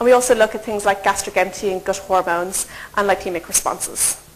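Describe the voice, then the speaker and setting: Noticeable background noise sits behind a woman talking at a fairly quick pace, medium in pitch with fairly even intonation. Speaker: nutrition researcher. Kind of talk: lecture. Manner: fast.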